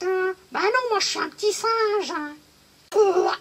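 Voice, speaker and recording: This cartoonish character voice sits at an extremely high pitch and moves at a fairly slow pace. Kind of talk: children's puppet show. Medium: puppet show. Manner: cheeky, puzzled.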